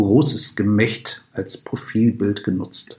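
His voice is somewhat breathy. This man's pitch sits in the medium range. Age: 50s. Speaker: podcast host. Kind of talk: scripted narration.

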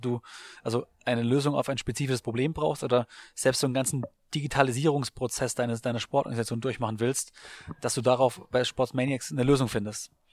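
Fairly quick and fairly even in intonation, a man with an unremarkable speaking voice talks at a medium pitch in a very clean recording with a silent background. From Baden-Württemberg, Germany. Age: 30s. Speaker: sports marketing podcaster and entrepreneur. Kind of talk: interview. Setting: coworking space in Berlin.

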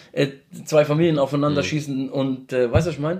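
Speaking with a Mannheim accent, a man keeps his intonation fairly even. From Mannheim, Germany (Lebanese family, came 1986). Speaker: social media manager. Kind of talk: casual chat.

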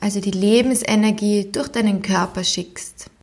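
Fairly even intonation and a fairly slow pace mark this woman's delivery. She has a fairly high pitch and an ordinary speaking voice. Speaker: podcast host, psychologist and sport scientist. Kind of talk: guided meditation, calm and soothing, addressing listener as 'du'. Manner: slow, soft-spoken, gentle and unhurried with long pauses; warm, encouraging, playful imagery.

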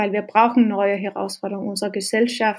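A woman with a Danish accent and monotone, flat intonation. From Denmark, then rural Norway from age 12. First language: Danish (speaking German). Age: 30s. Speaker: social entrepreneur. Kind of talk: interview. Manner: halting, hesitant.

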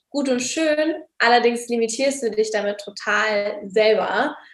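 Her voice sits high in pitch for a woman and shows ordinary pitch variation. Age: 20s. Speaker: online business coach. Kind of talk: casual interview.

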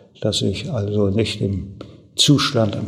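A man's very slow speech against noticeable background noise. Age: 70s. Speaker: retired former mayor. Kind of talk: interview answers.

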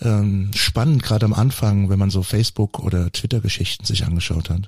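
This is an unremarkable speaking voice from a man who talks at a moderate pace with ordinary pitch variation. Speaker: podcast co-host. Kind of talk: casual chat.

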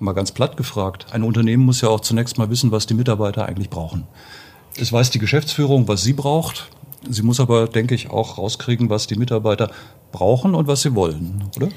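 A somewhat breathy man moves at a fairly quick pace with ordinary pitch variation. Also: medium pitch for a man. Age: 50s. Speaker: podcast co-host. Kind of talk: interview.

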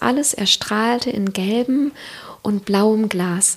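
Her voice sits fairly high as she talks very slowly. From Siegerland, Germany. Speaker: author and former marketing manager. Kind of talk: casual interview conversation. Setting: kitchen table at home.

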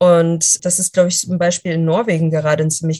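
At a moderate tempo, the speech comes out somewhat breathy. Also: woman. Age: 20s. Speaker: journalist and speaker. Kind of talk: podcast interview.

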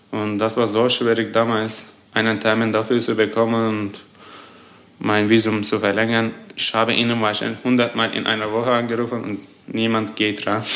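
A man's medium-pitched voice, monotone with flat intonation, against noticeable background noise. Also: moderate pace. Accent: Turkish. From Turkey, Adana. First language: Turkish (speaking German). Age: 20s. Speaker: engineering student. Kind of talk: interview.

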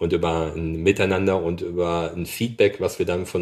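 A man speaks with a very deep, low voice. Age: 40s. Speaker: agricultural machinery product manager. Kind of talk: interview.

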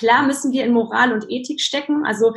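The somewhat breathy voice moves along at a fairly quick pace. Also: woman. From Germany, child of Polish parents. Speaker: life coach and speaker. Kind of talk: interview. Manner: many filler sounds.

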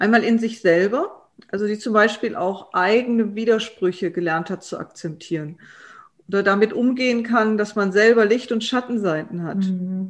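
At a moderate pace, a woman talks at a medium pitch with ordinary pitch variation. It is an ordinary speaking voice. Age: 50s. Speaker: transformation consultant and coach. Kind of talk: expert interview.

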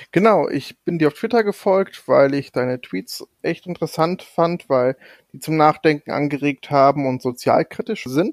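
A man speaks at a moderate pace with a fairly high pitch and lively intonation. The recording is very clean, with a silent background. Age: 30s. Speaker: podcast co-host, data entry clerk. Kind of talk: casual chat. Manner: soft-spoken.

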